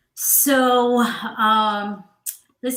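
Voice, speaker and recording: A woman is speaking. She has a slight Southern US accent. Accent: slight Southern twang. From Georgia, US South. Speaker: HR professional. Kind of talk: interview advice talk.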